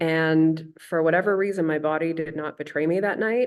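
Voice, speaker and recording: With a western Canadian accent, a woman speaks in a very deep, low voice with ordinary pitch variation. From Canada, Okanagan Valley, British Columbia. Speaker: artist and researcher. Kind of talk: lecture. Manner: casual with many fillers.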